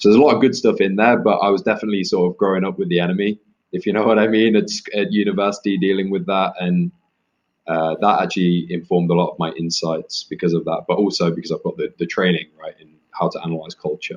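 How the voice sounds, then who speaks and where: A man with an East Midlands accent talks at a very fast pace. His loudness swings widely. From England, Leicester (East Midlands). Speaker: author. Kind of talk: interview.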